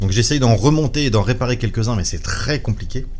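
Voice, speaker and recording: A man with a medium pitch has an ordinary speaking voice. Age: 40s. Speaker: YouTuber and computer repairer. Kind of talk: personal testimony.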